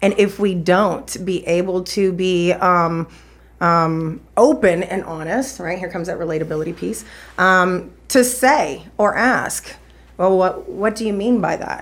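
At a fairly slow pace, a normal speaking voice rises and falls with ordinary pitch variation. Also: woman, medium pitch for a woman. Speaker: podcast guest. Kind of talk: casual interview conversation.

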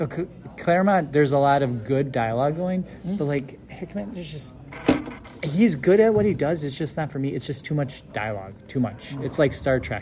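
With music in the background, a man speaks in a fairly high voice at a fairly quick pace with lively intonation. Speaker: podcast host. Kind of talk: casual chat.

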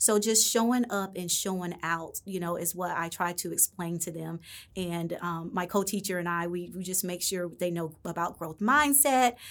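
In an unremarkable speaking voice, a woman talks with fairly low pitch, ordinary pitch variation, a moderate pace and hardly any pauses on a very clean recording with a silent background. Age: 40s. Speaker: elementary school teacher. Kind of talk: interview.

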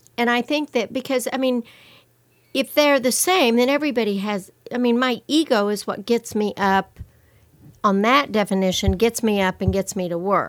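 In a very clean recording with a silent background, a woman uses an ordinary speaking voice, fairly high in pitch, at a moderate pace with ordinary pitch variation. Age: 60s. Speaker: therapist. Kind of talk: casual chat.

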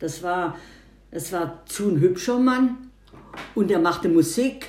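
Her voice sits fairly low for a woman, with very wide pitch swings. She speaks at a very slow pace. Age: 80s+. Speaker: grandmother. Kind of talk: casual interview. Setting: at home over breakfast. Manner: halting, repeats words.

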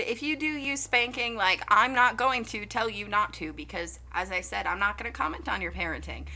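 This woman speaks. Her pace is fairly quick. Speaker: podcast co-host. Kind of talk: casual chat.

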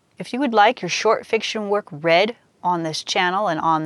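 A woman's medium-pitched voice, dry and close with no echo, over a quiet background. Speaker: poet and fiction podcaster. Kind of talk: spoken-word poetry reading, rhymed verse read aloud. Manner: measured, lyrical, rhythmic.

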